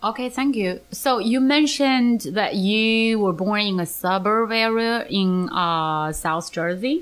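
A woman in a Chinese accent speaks very slowly at a fairly high pitch, her intonation lively and her loudness very even. The recording is very clean, with a silent background. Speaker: podcast host, English teacher. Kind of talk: casual interview chat.

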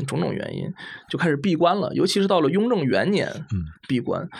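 A man talks at a fairly quick pace while noticeable background noise carries on behind him. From Hebei, China. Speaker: historian of mathematics. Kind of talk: casual chat.

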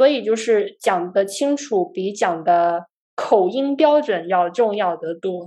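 Her pace is very slow. This woman, medium in pitch, uses lively intonation. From China, Guangzhou. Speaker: software engineer and startup founder. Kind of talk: casual chat.

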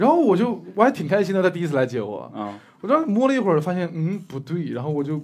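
Talking at a very fast pace, a man uses a high pitch that swings very widely. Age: young. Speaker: stand-up comedian. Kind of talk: casual chat. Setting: stage with live audience.

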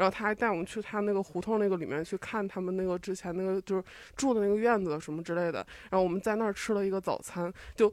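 Very fast pace and fairly even intonation, on a very clean recording with a silent background. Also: woman, medium pitch for a woman. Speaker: audience member. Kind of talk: casual chat.

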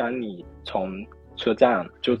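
A man with a Fujian accent. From Fujian, China. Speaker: book club participant. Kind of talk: casual chat.

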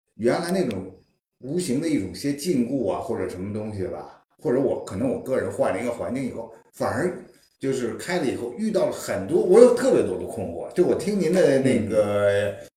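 Fairly high pitch from a man, very wide pitch swings, audible room echo. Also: fairly quick pace. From Beijing, China. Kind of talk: casual chat. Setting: living room gathering at host's home.

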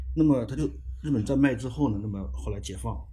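Vocal fry runs through a man's dark, mellow tone. He speaks at a very fast pace with very wide pitch swings. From Fushun, northeast China. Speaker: writer. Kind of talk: interview.

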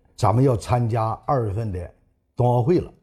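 This man talks at a moderate pace and medium pitch, his tone dark and mellow and somewhat breathy. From Northeast China, Changchun, Jilin. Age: 70s. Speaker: retired speed skater and Olympic flag bearer. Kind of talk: interview recollection.

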